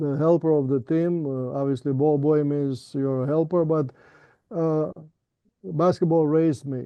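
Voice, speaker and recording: Fairly high-pitched with a Romanian accent, a man speaks at a moderate pace and with fairly even intonation. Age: 70s. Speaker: professor. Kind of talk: interview. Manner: halting, many fillers.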